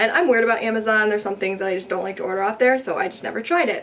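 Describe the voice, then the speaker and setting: A woman's fairly high voice with ordinary pitch variation, amid noticeable background noise. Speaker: beauty vlogger. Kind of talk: casual chat. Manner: fast.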